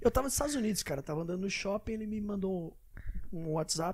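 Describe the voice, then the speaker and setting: A man is speaking. He talks at a very fast pace. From São Paulo, Brazil. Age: 40s. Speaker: jiu-jitsu event promoter. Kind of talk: casual interview.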